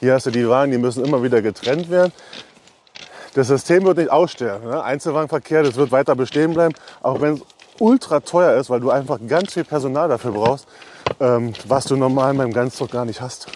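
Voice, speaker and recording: At a fairly quick pace, a man talks at medium pitch over noticeable background noise. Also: ordinary pitch variation. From eastern Germany, Brandenburg. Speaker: railway wagon inspector supervisor. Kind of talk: casual interview during a site tour.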